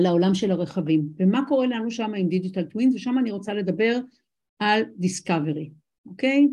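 A woman speaks at a moderate pace and medium pitch with lively intonation. Her tone is dark, mellow and somewhat breathy. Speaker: business lecturer. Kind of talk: lecture.

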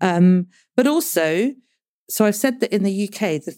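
A woman speaks in a British accent with a dark, mellow tone. The recording is very clean, with a silent background. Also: dry, close sound with no echo. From grew up partly in the Congo, British. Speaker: clinical psychologist and author. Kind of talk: interview conversation.

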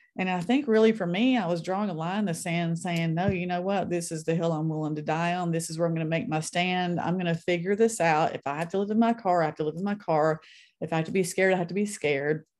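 A woman with a Southern US accent talks at a very fast pace in a fairly low voice, with ordinary pitch variation and a quiet background. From US South, North Mississippi. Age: 50s. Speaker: author. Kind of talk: interview.

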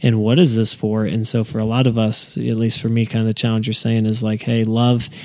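A man with a plain, everyday voice talks at medium pitch and a moderate pace, keeping his intonation fairly even. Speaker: podcast host and church staff member. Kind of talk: casual interview chat.

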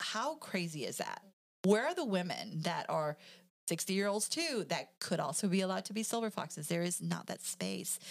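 The speaker moves at a fairly quick pace, the voice showing vocal fry and ordinary pitch variation. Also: woman. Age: 40s. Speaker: pastor and counselor. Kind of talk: casual chat.

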